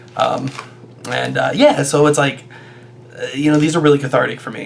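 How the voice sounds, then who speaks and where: A man delivers his words at a fairly quick pace, with noticeable background noise around him. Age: 30s. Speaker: YouTuber and stage actor. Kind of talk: casual vlog monologue. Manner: many fillers and hesitations; loud.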